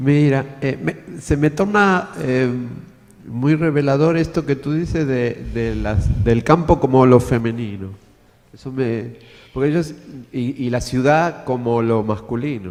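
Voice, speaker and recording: Lively intonation marks the speech of a man who talks at a very slow pace. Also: medium pitch for a man. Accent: Argentine. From Argentina. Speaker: design lecturer, audience member. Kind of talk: Q&A after a talk. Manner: halting.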